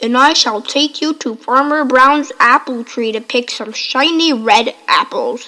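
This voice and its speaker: A woman uses a put-on character voice. It is high-pitched and fairly slow. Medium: read story. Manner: menacing.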